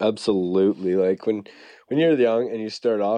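A man speaks fairly quickly in an ordinary speaking voice, fairly low in pitch with ordinary pitch variation. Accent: Canadian. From Canada. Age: 30s. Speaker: fishing guide and former pro mountain biker. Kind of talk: casual interview.

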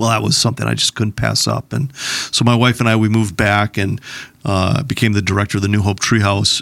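Very even loudness and fairly even intonation from a man with an American accent and vocal fry. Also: fairly low pitch for a man, fairly quick pace, dry, close sound with no echo. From Minnesota, Plymouth (Twin Cities suburb). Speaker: church leader. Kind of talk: interview. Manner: halting.

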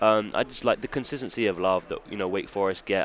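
A man talks at a fairly low pitch. He speaks with a British accent. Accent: British English, noticeable. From England. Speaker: college basketball guard. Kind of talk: casual interview.

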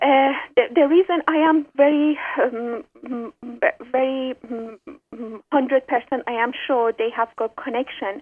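A high-pitched woman in an Iranian accent, at a fairly slow pace with fairly even intonation and few pauses.

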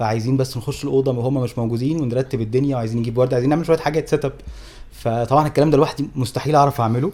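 Delivery from this man comes at a very fast pace with fairly even intonation. His medium-pitched voice has a dark, mellow tone. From Egypt. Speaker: travel podcast co-host. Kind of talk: casual chat. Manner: loud.

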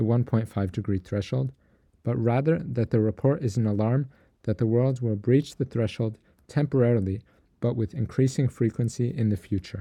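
A man at a moderate pace, medium in pitch with ordinary variation, with a dark, mellow tone, somewhat breathy, against a quiet background. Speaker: radio news host. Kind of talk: newsreading. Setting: radio studio. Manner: formal; steady, measured.

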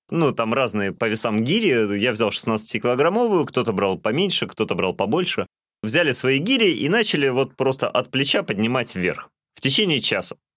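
A man's normal speaking voice, moderate in pace with lively intonation, on a very clean recording with a silent background. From Russian North (reindeer herding region). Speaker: podcast co-host. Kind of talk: casual chat.

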